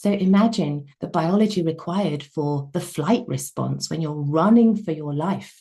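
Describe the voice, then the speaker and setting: A woman talks at a moderate pace with a fairly low pitch. Her voice is somewhat breathy, with a dark, mellow tone. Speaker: wellness coach. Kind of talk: webinar lecture.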